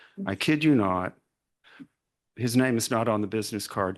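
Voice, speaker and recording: Over a quiet background, a man with an Arkansas accent speaks at a medium pitch with ordinary pitch variation. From US South, Arkansas. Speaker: retired literary journal editor, keynote speaker. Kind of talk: keynote lecture. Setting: conference talk with audience.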